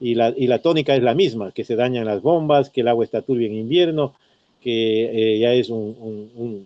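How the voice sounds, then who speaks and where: A man talks at a moderate pace, his voice set at a medium pitch. His pitch varies in an ordinary way. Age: 60s. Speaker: retired teacher and former local politician. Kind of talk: radio interview. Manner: halting, many fillers and repetitions.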